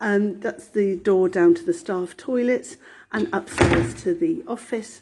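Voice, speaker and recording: A woman's fairly high, somewhat breathy voice. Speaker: nursery manager. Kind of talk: guided tour. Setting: walking tour inside a nursery.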